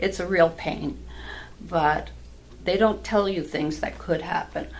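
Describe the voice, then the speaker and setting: Room echo and clear background noise surround a woman who talks at a fairly slow pace. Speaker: patch seller, health product distributor. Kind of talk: interview chat. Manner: animated.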